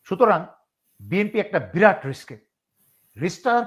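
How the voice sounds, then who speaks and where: Here a man speaks with ordinary pitch variation. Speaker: retired army officer and political commentator. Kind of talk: political interview commentary.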